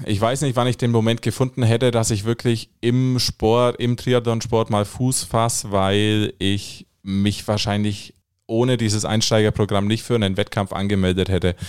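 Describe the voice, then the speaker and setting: In a dry, close recording with no echo, a man with an unremarkable speaking voice talks at a moderate pace and medium pitch, with hardly any pauses, very even loudness and fairly even intonation. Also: very clean recording, silent background. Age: 20s. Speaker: triathlon beginner, amateur athlete. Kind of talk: casual interview. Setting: studio.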